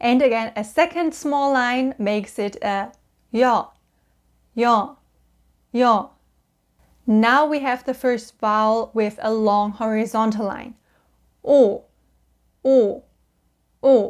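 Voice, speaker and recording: In a very clean recording with a silent background, a woman with a German accent speaks at a fairly high pitch and a very slow pace, with ordinary pitch variation and long, frequent pauses. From Germany. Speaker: language-learning YouTuber. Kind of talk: tutorial.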